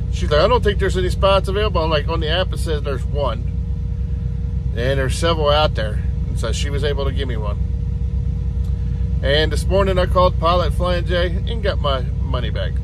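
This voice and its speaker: A man talks at a fairly quick pace, the sound dry with no echo and noticeable background noise. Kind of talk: casual vlog chat. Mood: mildly frustrated, weary. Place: car. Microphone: phone near.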